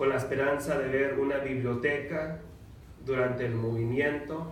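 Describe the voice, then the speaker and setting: Speaking in an American accent with a fairly high pitch, a man delivers monotone, flat intonation at a moderate pace, with audible room echo and noticeable background noise. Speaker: mayor. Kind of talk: reading aloud; public speech.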